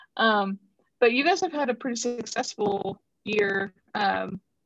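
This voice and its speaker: A woman's unremarkable speaking voice at medium pitch and a fairly slow pace, with a dry, close sound and no echo. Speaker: podcast co-host. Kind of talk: casual interview.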